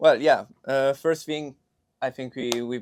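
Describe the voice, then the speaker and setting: Heard dry and close with no echo, a man speaks in a monotone, flat way with an Italian accent. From Milan, Italy. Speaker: film student. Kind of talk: casual chat.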